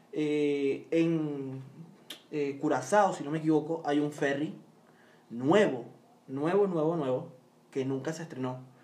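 Amid noticeable background noise and audible room echo, a man with a fairly high pitch speaks very slowly with long, frequent pauses. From Venezuela. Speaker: Venezuelan guest commenting on politics. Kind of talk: casual chat.

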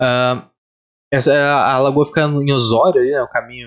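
A fairly high-pitched male voice at a fairly slow pace. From Rio Grande do Sul, southern Brazil. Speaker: podcast host. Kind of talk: casual chat.

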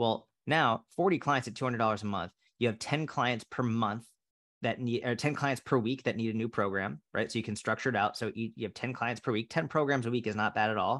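With an American accent, a man talks in an unremarkable speaking voice at medium pitch and a moderate pace, with ordinary pitch variation, on a very clean recording against a silent background. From Massachusetts (Boston area). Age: 30s. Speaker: fitness coach. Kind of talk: casual interview chat.

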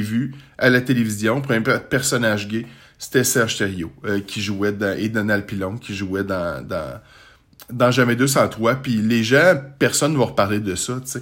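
This man's pitch moves in an ordinary way. He keeps a fairly slow pace. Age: 40s. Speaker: podcaster. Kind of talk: casual monologue. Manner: halting.

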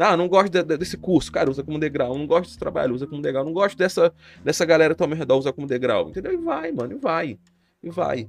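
A man speaks at a very fast pace with a fairly high pitch. His pitch varies in an ordinary way while his loudness swings widely. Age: 20s. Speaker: podcaster and streamer. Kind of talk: casual monologue. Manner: casual, slangy.

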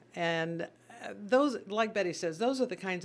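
A woman with an American accent and an ordinary speaking voice, lively intonation and a fairly slow pace, in a very clean recording with a silent background. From Missouri (Sedalia). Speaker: charity volunteer chairperson, former teacher. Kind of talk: radio interview. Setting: radio studio.

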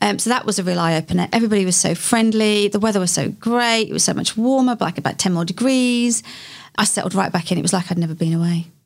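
A woman with a London accent at a very fast pace, medium in pitch, with ordinary pitch variation and very even loudness. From west London (Hayes area), England. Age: 50s. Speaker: local mayor. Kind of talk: interview. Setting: studio.

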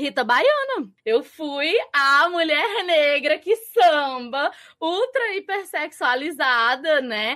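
In a raised, projected voice, a woman with a high pitch and bright, sharp tone speaks very slowly with lively intonation and hardly any pauses. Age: 20s. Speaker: literature content creator. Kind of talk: casual chat. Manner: loud.

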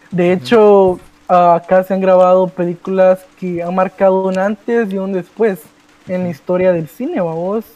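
With a Guatemalan accent, a man speaks at a fairly slow pace in a high pitch, his intonation fairly even. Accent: Guatemalan Spanish, unchanged. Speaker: youtuber. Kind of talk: casual chat.

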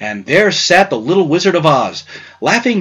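Natural-voiced reading aloud

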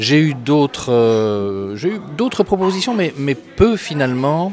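Clear background noise is present throughout. The words come very slowly. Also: man. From Belgium, Brussels. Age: 60s. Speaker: author and historian, former school principal. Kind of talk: interview. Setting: café. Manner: hesitant, many filler sounds and repeated words.

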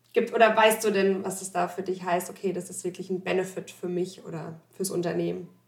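A woman with a medium pitch speaks at a fairly quick pace with hardly any pauses, her intonation monotone and flat, her loudness swinging widely. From Odenwald, Germany. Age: 30s. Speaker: company podcast host. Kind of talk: interview. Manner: hesitant, many fillers.

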